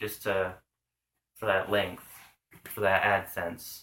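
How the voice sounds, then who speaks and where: A man with a Pacific Northwest accent speaks slowly-ish in a fairly low, bright, sharp voice, at a fairly slow pace. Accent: Pacific Northwest American. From US Pacific Northwest, Washington state. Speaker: vlogger. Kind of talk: casual vlog monologue. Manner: halting, many fillers.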